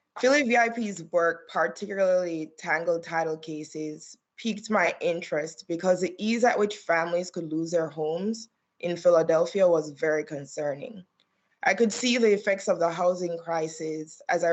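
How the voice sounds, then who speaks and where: With a Caribbean accent, a woman speaks at a fairly low pitch and a moderate pace. Her pitch variation is ordinary. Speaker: attorney. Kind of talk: testimony. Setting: remote hearing video call.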